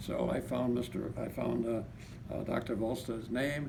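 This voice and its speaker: A man speaks at medium pitch and a moderate pace, his intonation fairly even. Room echo is audible, and background noise is noticeable. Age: 80s+. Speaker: patient giving testimony. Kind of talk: testimony. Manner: halting.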